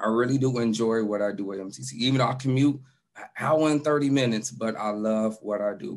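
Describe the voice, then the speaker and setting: A man talks at a medium pitch, and his pitch shifts in an ordinary way. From Chicago. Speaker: career services director and instructor. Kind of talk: workshop presentation. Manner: animated.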